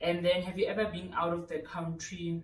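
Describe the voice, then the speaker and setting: In a South African accent, a woman with a fairly low pitch and a somewhat breathy voice speaks at a moderate pace amid audible room echo. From South Africa, Randfontein (West Rand). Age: 30s. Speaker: lifestyle youtuber. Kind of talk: casual Q&A vlog. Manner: chatty, talkative.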